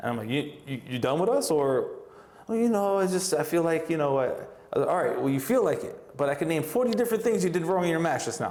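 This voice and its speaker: Speaking at a fairly quick pace in a strong Brooklyn accent, a man with a fairly high pitch swings his voice very widely up and down while the room echoes audibly around him. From New York, Brooklyn. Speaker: professional wrestler and wrestling coach. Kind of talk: casual interview. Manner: animated, acts out quoted dialogue.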